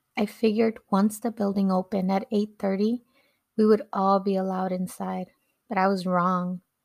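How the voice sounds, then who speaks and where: A woman with a Californian accent speaks at a medium pitch and moderate pace, her intonation monotone and flat. The recording is very clean with a silent background, dry and close with no echo. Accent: Californian American English. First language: Spanish. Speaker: podcast host. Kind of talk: personal storytelling narration.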